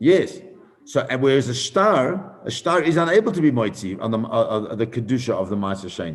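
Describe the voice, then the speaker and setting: A man at a fairly quick pace, medium in pitch, with very wide pitch swings. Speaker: rabbi teaching Talmud class. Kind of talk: Talmud lecture with questions. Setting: live stream. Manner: fast.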